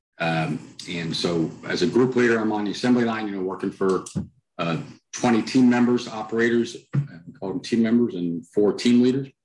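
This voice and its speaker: A man with an American accent talks at a moderate pace with ordinary pitch variation, and the room echo is audible. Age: middle-aged. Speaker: author and culture consultant; podcast guest. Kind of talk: interview. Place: home room. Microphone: headset.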